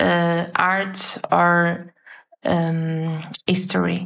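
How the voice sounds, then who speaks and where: A woman with a Portuguese accent. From northern Portugal, near Porto. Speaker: illustrator. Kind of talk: casual interview. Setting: video call.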